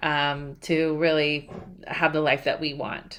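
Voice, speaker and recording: The recording is very clean, with a silent background. A woman speaks fairly slowly in a bright, sharp tone. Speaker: podcast host. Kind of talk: podcast interview questions.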